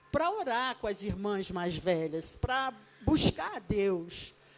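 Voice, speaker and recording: Woman in a Rio de Janeiro accent, at a very slow pace. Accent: Rio de Janeiro (carioca). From Brazil, Rio de Janeiro. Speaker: evangelist, guest preacher. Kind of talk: sermon. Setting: church.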